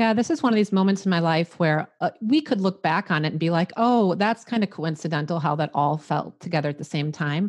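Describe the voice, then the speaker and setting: A woman with a Midwestern US accent speaks at a fairly quick pace with hardly any pauses. Her fairly low voice has ordinary pitch variation over a quiet background. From US Midwest. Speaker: life coach and podcaster. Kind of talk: casual interview chat.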